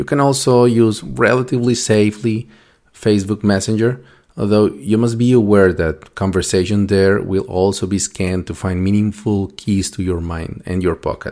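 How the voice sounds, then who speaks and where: On a very clean recording with a silent background, a man speaks with a fairly low pitch and a dark, mellow tone. His pace is moderate and his pitch variation ordinary. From Colombia, Bogota. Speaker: podcast host. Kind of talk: monologue talk.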